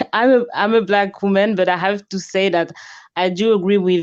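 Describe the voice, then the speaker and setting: At a moderate pace, a woman with a French accent talks at a medium pitch. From France. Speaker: caller. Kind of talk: call-in conversation. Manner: halting.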